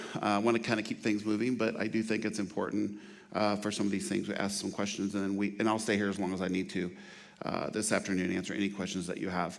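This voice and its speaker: The voice rushes along at a very fast pace in a monotone, flat intonation. Audible room echo surrounds it. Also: man, fairly low pitch for a man. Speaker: trauma nurse and outreach manager. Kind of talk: lecture.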